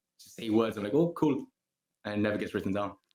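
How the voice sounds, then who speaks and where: A man with a Gibraltarian accent talks at a very fast pace. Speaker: singer-songwriter. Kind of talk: interview. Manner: casual, relaxed.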